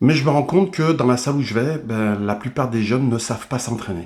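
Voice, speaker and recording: Ordinary pitch variation marks this man's speech. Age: 60s. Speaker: bodybuilder and fitness trainer. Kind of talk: video monologue. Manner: hesitant, many fillers.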